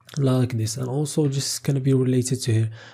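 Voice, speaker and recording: This man has a medium pitch and a dark, mellow tone. His voice is somewhat breathy, with fairly even intonation. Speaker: coding tutorial instructor. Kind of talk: tutorial.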